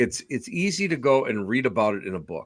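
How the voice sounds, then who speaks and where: An unremarkable speaking voice from a man at medium pitch, fairly slow in pace, in a very clean recording with a silent background. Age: 60s. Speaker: podcast host, paranormal investigator. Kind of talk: casual interview chat.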